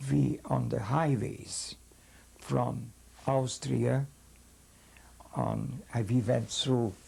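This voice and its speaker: Speaking at a very slow pace with long, frequent pauses, a man with a Hungarian accent keeps his loudness very even. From Hungary. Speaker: rabbi, Holocaust survivor. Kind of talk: interview answer.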